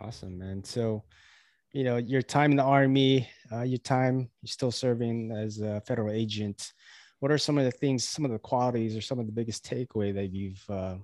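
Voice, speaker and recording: An unremarkable speaking voice at a moderate pace, with fairly even intonation over a quiet background. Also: man. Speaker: podcast host. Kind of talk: casual interview chat.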